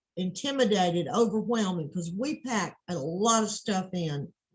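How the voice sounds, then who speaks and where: At a moderate pace, a woman speaks at a medium pitch with a somewhat breathy voice and ordinary pitch variation. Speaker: transcription course owner and teacher. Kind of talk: interview questions, video call.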